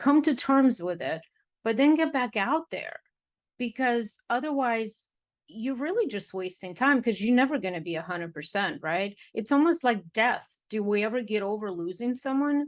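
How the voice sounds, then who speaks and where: Over a quiet background, a woman with a Russian accent speaks at a moderate pace with lively intonation. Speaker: matchmaker and dating coach. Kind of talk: podcast interview. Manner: animated.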